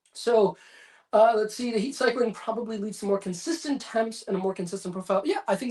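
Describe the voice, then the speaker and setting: His pitch varies in an ordinary way as this man talks at a very fast clip. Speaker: whiskey YouTuber. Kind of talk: livestream chat reading. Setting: livestream at home. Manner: casual, hesitant fillers.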